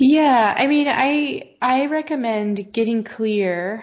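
A woman speaks with ordinary pitch variation. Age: 40s. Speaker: health coach. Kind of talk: interview.

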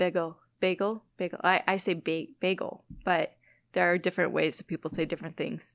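A woman with an American accent talks at a moderate pace, her pitch fairly low and her intonation fairly even, with vocal fry. The sound is dry and close with no echo, a very clean recording with a silent background. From northern Illinois, Wisconsin border. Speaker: biology lecturer and butterfly researcher. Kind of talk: casual interview. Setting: in person in her lab.

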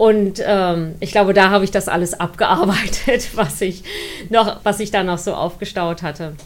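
A woman with a plain, everyday voice, medium pitch, moderate pace and ordinary pitch variation. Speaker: science communicator, former student newspaper editor. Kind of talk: interview, personal recollection.

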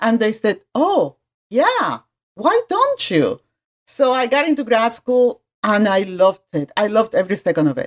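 With a Spanish accent, a woman speaks at a moderate pace in a fairly high voice with very wide pitch swings, recorded dry and close with no echo. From Puerto Rico. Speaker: graphic design professor. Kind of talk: casual interview.

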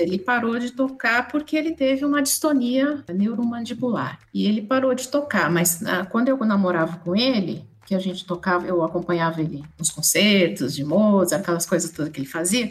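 A woman at medium pitch speaks with hardly any pauses, her pitch swinging very widely. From Brazil, São Paulo city. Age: 50s. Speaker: pianist and businesswoman. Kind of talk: casual interview chat.

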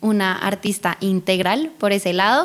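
A woman talks with a Bogotá accent. Her intonation stays fairly even. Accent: Bogotá Colombian. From Bogotá, Colombia. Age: 20s. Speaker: singer. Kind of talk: interview.

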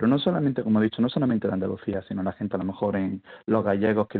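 A man talking at a very fast pace. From eastern Andalusia, Spain (El Ejido, Almería). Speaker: university linguistics professor. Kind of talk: radio interview.

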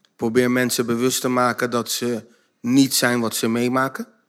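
A man's medium-pitched, monotone voice, flat in intonation, at a fairly slow pace. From Netherlands, Zoetermeer (South Holland). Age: 50s. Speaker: behaviour trainer and author. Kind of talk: casual chat. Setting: stage with audience.

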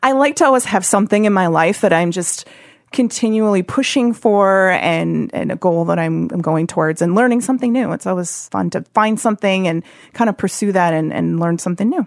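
At a fairly quick pace, a woman speaks in an unremarkable speaking voice of medium pitch, with ordinary pitch variation. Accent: American. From Wisconsin, Oshkosh. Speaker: anti-human trafficking nonprofit worker. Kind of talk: casual interview chat. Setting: studio.

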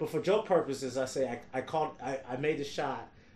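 A man speaks with an American accent, his pitch varying in an ordinary way. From US Midwest, Detroit. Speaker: stand-up comedian. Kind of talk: casual chat.

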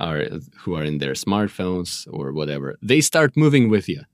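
A man with a Russian accent and a very deep, low voice comes through in a dry, close sound with no echo. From Moscow, Russia. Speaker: guest. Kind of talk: casual chat.

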